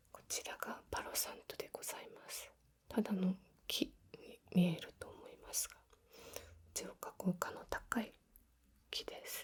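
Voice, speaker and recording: Soft-spoken and calm in tone, a woman talks at a very slow pace. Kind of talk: ASMR role-play, healing session. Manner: soft-spoken, calm.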